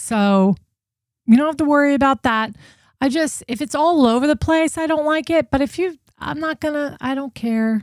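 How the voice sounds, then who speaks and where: Recorded very cleanly with a silent background and a dry, close sound with no echo, a woman with an American accent speaks at a moderate pace and a high pitch, with ordinary pitch variation. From New Jersey, US. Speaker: true crime livestream host. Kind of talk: casual livestream commentary. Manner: animated.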